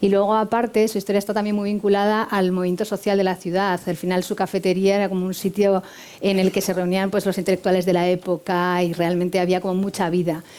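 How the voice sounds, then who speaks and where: On a very clean recording with a silent background, a woman with a dark, mellow tone speaks in a flat monotone at a medium pitch, very fast and with hardly any pauses. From Spain, not the Canary Islands. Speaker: hotel director. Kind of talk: interview.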